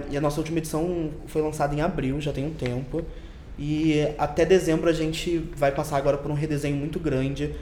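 In a Carioca accent, a man speaks at a moderate pace with a fairly high pitch and monotone, flat intonation, with audible room echo and noticeable background noise. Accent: carioca, hissing s. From Rio de Janeiro. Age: young. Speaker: magazine editor. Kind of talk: casual chat.

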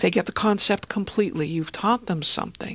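With lively intonation and a somewhat breathy quality, a woman speaks at a medium pitch. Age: 60s. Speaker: listening consultant and author. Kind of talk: interview.

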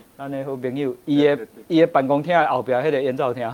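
A man talks at a moderate pace with a medium pitch. He has an ordinary speaking voice. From Taiwan. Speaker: author and Czech culture expert. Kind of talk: interview on a livestream talk show. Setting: livestream studio.

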